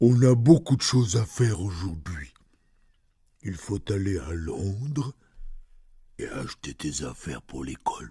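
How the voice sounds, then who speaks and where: A man's put-on character voice, rumbling and fairly low-pitched, with very wide pitch swings, a moderate pace, and long, frequent pauses. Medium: read story. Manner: grumbling, drowsy.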